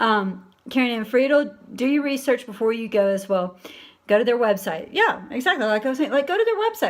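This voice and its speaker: This woman speaks with an American accent, her voice high-pitched and her pitch varying in an ordinary way. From US South, Alabama. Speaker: livestream host, transgender community. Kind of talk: live stream chat reading viewer comments. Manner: casual, conversational with fillers.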